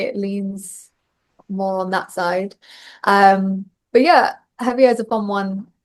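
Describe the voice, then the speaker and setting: Speaking at a medium pitch with ordinary pitch variation, a woman with a Bristolian accent talks at a fairly slow pace. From England, Bristol. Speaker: country singer-songwriter. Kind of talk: interview.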